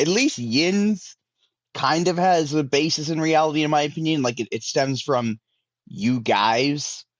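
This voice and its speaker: Lively intonation in a Pittsburgh accent. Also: man. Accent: mild Pittsburgh. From Pittsburgh, US. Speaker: indie wrestler. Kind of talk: casual chat.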